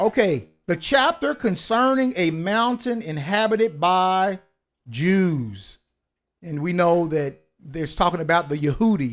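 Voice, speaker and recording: A fairly slow voice with a Kentucky accent and very wide pitch swings, on a very clean recording with a silent background. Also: man, high pitch for a man. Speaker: book reviewer, online show host. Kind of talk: book review, reading aloud with commentary. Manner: casual, conversational.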